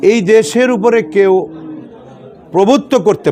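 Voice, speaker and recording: A man is heard speaking through noticeable background noise. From Bangladesh, Sirajganj district (Shahzadpur). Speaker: politician. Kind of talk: political interview.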